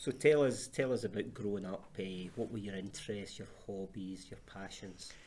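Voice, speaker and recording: A man with a Glasgow accent, fairly low pitch, ordinary pitch variation, a moderate pace, big swings in loudness and hardly any pauses. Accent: Scottish, Glasgow. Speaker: charity chief executive, interviewer. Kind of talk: interview.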